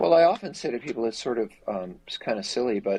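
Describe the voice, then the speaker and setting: A man speaks at a very fast pace with lively intonation. His pitch sits at a medium level. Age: 60s. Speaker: therapist and treatment center executive. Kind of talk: interview conversation.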